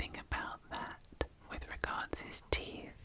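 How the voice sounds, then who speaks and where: The speaker whispers. Background noise is noticeable throughout. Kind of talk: ASMR Whispered; whispered ASMR commentary. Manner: whispered.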